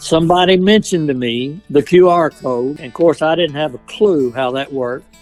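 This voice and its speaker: Over background music, a man with a Kentucky accent talks fairly quickly at a fairly high pitch, with ordinary pitch variation and big swings in loudness. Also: hardly any pauses. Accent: Southern US (Kentucky). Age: 70s. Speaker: chaplain and pastor. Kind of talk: interview answer.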